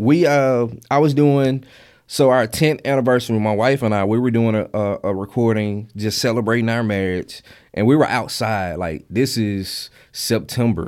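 On a very clean recording with a silent background, a man speaks at a moderate pace, his medium pitch varying in an ordinary way. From Mississippi Delta. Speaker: podcaster. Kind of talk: interview.

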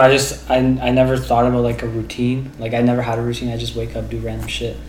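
There is audible room echo and noticeable background noise as a man speaks with a Canadian accent. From Waterloo, Ontario, Canada. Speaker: student. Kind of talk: casual chat. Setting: in-person podcast recording, shared recorder.

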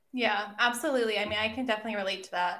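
Here a woman speaks at a medium pitch with vocal fry. Her pitch shows ordinary variation. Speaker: podcast co-host. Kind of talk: casual chat.

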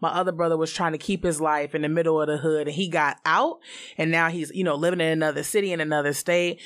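A woman's very deep, low voice in a flat monotone at a very fast pace, on a very clean recording with a silent background. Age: 30s. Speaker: podcast guest. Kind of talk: casual chat.

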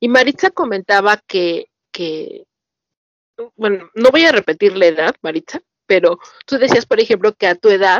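The speaker has a Mexican accent and lively intonation. The pace is fairly slow. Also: woman. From Mexico. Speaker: podcast host. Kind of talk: casual interview chat.

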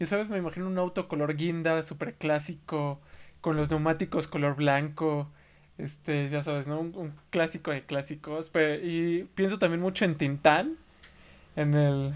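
On a very clean recording with a silent background, a man with a plain, everyday voice speaks fairly slowly, at a fairly high pitch and with fairly even intonation. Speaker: podcast host. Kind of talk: casual chat.

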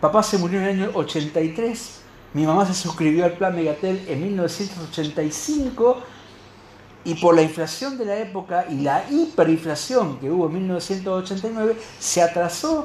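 At a very slow pace, a man speaks in a high-pitched voice with lively intonation. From Argentina. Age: 50s. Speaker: radio host. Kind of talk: casual chat.

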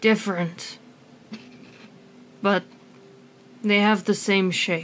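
Using a put-on character voice, a woman speaks very slowly in a raspy, medium-pitched tone with monotone, flat intonation. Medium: actual play. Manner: condescending, weary.

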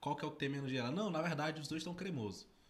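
A man's somewhat breathy voice at a very fast pace, fairly high in pitch, with ordinary pitch variation. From Tocantins, Brazil. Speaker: podcast co-host. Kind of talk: casual chat. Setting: studio.

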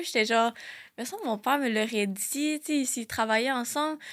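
A woman's high-pitched voice at a moderate pace, with ordinary pitch variation, on a very clean recording against a silent background. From Quebec, Laval and Montreal South Shore. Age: 20s. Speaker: psychology student, suicide-bereaved sibling. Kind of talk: personal testimony in casual interview. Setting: studio.

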